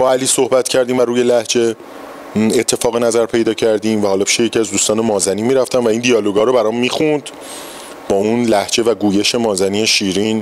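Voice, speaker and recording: Over noticeable background noise, a man with a Tehran accent speaks very fast in a flat monotone at a medium pitch, his loudness very even. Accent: Tehrani Persian. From Iran, Tehran. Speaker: stage actor. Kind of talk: interview.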